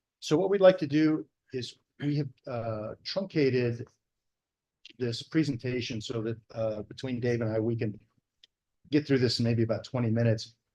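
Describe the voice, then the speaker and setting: A man's dark, mellow voice with an American accent, at a moderate pace with ordinary pitch variation and long, frequent pauses. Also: medium pitch for a man. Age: 60s. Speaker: fire service veteran and institute director. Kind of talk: symposium presentation. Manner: soft-spoken; halting.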